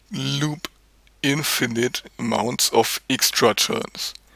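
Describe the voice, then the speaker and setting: A man talks at a very slow pace, and the sound is dry and close with no echo. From Germany. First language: German. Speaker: card game video creator. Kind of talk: opinion video monologue. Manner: animated.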